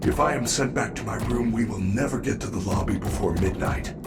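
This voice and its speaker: Against clear background noise, someone uses a put-on character voice at a moderate pace. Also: man. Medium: video game. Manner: formal, polite, reassuring.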